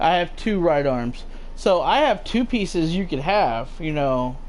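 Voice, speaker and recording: With audible room echo, a man speaks with lively intonation. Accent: slight Southern US. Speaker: gaming livestream host. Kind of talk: casual chat. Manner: halting.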